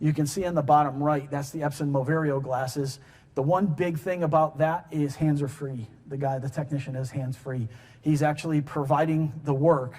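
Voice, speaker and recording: This man has an American accent, a somewhat breathy sound, and a fairly even intonation. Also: fairly high pitch for a man. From US Northeast, Connecticut (New Haven). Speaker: engineer and technology director at a manufacturer, conference speaker. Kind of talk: conference presentation. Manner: fast.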